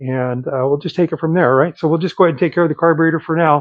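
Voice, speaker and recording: This man's pitch is fairly high. His intonation stays fairly even. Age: 60s. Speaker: small engine repair YouTuber. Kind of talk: tutorial. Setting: outdoors in the cold. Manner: casual, halting with many fillers.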